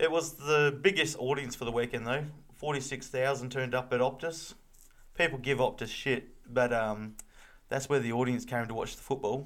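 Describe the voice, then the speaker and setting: With an Australian accent, a man speaks at a moderate pace in a medium pitch, his intonation fairly even. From Victoria, Australia. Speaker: footy podcast co-host. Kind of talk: casual chat.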